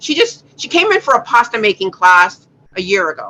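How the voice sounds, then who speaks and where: A woman's bright, sharp tone at a moderate pace. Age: 60s. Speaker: cosmetics entrepreneur and craft teacher. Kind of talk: interview. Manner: animated storytelling.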